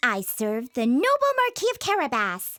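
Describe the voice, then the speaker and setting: A put-on character voice that sounds female, pitched high and delivered at a moderate pace. The recording is very clean, with a silent background. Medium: read story. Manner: confident, persuasive.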